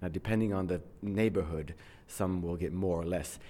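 On a very clean recording with a silent background, a man with an English accent speaks in a dark, mellow tone with ordinary pitch variation. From abroad, outside the United States. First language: English (speaking French). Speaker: English teacher. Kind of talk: interview.

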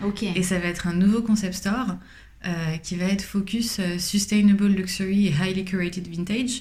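Audible room echo surrounds a woman of medium pitch. She speaks at a moderate pace with fairly even intonation. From Paris, France. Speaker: fashion brand founder. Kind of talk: interview.

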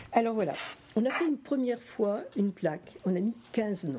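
A woman's fairly high, somewhat breathy voice with a dark, mellow tone, very wide pitch swings and a fairly slow pace. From France, Nice area. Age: 70s. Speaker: association president. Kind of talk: talk to school students. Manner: halting.

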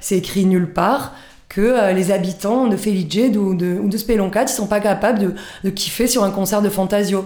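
A woman speaks at a fairly slow pace and medium pitch. Her intonation is fairly even, with noticeable background noise. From Corsica, Balagne. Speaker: cultural association founder. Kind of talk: interview. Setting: radio studio. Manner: hesitant, many fillers.

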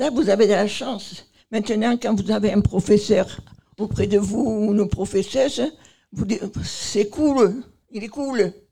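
A woman speaks in a somewhat breathy voice with a dark, mellow tone and ordinary pitch variation. Her pace is fairly slow, with long, frequent pauses. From Marseille, southern France. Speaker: nursing home resident. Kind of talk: interview. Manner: halting.

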